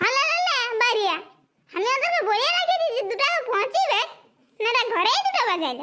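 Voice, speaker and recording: A woman speaks in a cartoonish character voice, squeaky and extremely high-pitched, with lively intonation. Her pace is moderate and her loudness very even. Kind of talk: comic cartoon dialogue. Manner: bossy, scolding.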